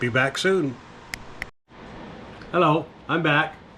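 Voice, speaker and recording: A man with ordinary pitch variation amid noticeable background noise. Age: old. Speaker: home baking vlogger. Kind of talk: casual cooking vlog narration.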